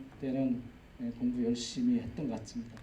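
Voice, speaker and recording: Audible room echo surrounds a man who speaks at a fairly quick pace with ordinary pitch variation. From Jeju, South Korea (Aewol, rural). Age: 50s. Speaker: agricultural cooperative executive, lecturer. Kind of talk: public lecture, personal life story. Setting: lecture hall with audience. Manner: conversational, with fillers.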